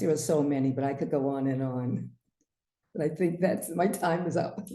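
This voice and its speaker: A woman speaks at a moderate pace with a very deep, low pitch and a dark, mellow tone. Her pitch varies in an ordinary way, and room echo is audible. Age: 70s. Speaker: naturopath. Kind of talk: webinar presentation.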